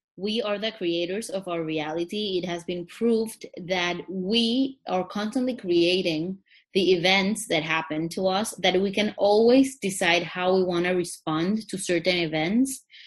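A woman with a non-native accent, medium pitch, ordinary pitch variation and a fairly slow pace, against a quiet background. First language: not English. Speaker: psychologist. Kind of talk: interview.

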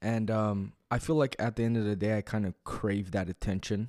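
A fairly low-voiced man talks at a fairly quick pace with fairly even intonation, in a very clean recording with a silent background and a dry, close sound with no echo. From Canada, Toronto. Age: 20s. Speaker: podcast co-host. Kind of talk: casual chat.

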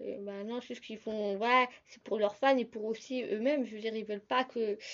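Speaking at a fairly high pitch with ordinary pitch variation, a woman has an unremarkable speaking voice. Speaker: podcaster. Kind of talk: casual solo podcast talk.

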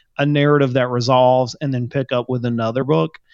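A man with an unremarkable speaking voice, medium pitch, fairly even intonation and a fairly quick pace, in a dry, close sound with no echo. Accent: American. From small US town. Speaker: novelist and podcaster. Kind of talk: casual chat.

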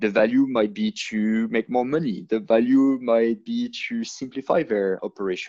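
Over a quiet background, a man with a medium pitch and a dark, mellow tone speaks at a moderate pace with hardly any pauses and ordinary pitch variation, in a dry, close sound with no echo. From France and Ireland. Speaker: sales and pipeline executive. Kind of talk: interview conversation.

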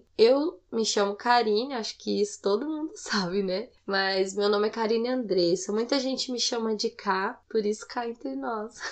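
A woman speaks in a fairly high pitch with a Goiás accent. Her intonation is lively. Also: moderate pace, hardly any pauses. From Goiânia, Brazil. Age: 20s. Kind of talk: personal testimony. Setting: home recording late at night.

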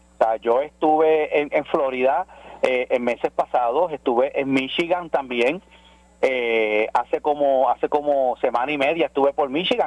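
A man's fairly high voice, fairly slow in pace, with very even loudness, ordinary pitch variation and an ordinary speaking voice. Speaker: pastor. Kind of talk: radio interview by phone.

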